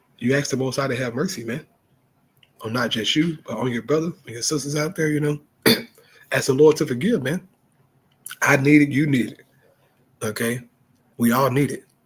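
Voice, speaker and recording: A man with a fairly high pitch and a somewhat breathy voice talks at a fairly quick pace, broken by long, frequent pauses. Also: ordinary pitch variation. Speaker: street evangelist. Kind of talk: casual religious commentary. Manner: casual, conversational.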